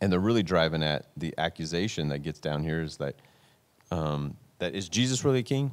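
A man speaks at a very deep, low pitch. His pace is fairly quick and his intonation lively. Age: 40s. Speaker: podcast host, ministry leader. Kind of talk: casual faith discussion podcast. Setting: podcast studio.

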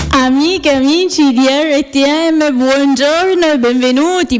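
A woman's high-pitched voice with ordinary pitch variation over noticeable background noise. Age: 30s. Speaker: radio host, cooking show. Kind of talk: casual radio chat.

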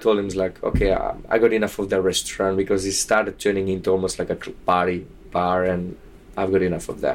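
A man with a Slovak accent at a fairly quick pace. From southern Slovakia. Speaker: bartender. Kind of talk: interview. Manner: animated.

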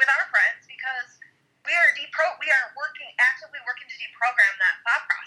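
A woman's raised, projected voice, high-pitched with a bright, sharp tone, very wide pitch swings, big swings in loudness and a fairly quick pace. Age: 40s. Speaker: podcast guest, parent. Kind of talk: casual chat.

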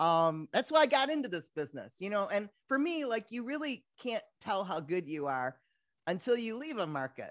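A woman with a Midwestern accent speaks at a moderate pace and medium pitch, her voice making very wide pitch swings against a quiet background. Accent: Midwest US. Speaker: radio host. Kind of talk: casual interview chat.

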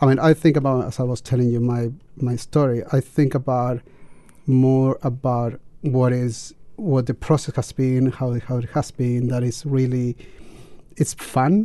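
A man with a Chilean accent speaks fairly slowly at a medium pitch, his tone dark and mellow and his intonation fairly even. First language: Spanish. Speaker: teacher, guest. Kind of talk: casual radio chat. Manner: halting.

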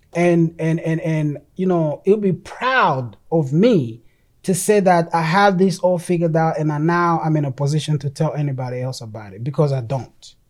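A man with a non-native accent at a moderate pace, with hardly any pauses. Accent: noticeable non-native. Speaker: ministry podcaster, preacher. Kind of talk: religious podcast teaching. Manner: repetitive filler words, stammering.

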